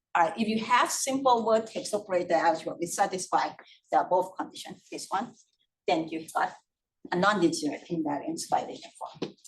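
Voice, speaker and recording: Speaking at a moderate pace, a woman with an unremarkable speaking voice uses lively intonation at medium pitch. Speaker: mathematics lecturer. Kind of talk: lecture.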